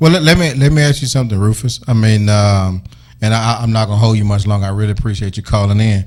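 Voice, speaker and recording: This man has an unremarkable speaking voice, pitched in the middle of his range with ordinary rises and falls. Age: young. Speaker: radio talk show host. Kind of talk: call-in radio talk show.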